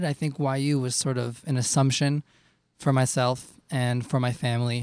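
The delivery holds a moderate tempo. The sound stays dry and close, free of any echo. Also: man. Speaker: singer. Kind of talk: casual interview.

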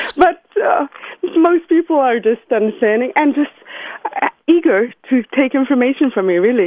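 Speaking at a moderate pace, a woman uses a high pitch with very wide pitch swings and very even loudness. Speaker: wine shop owner. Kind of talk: interview. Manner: animated.

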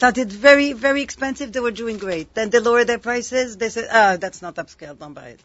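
A woman speaks at a very fast pace with hardly any pauses, her fairly high voice showing ordinary pitch variation and big swings in loudness. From Morocco. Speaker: cookbook author and baker. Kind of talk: casual chat.

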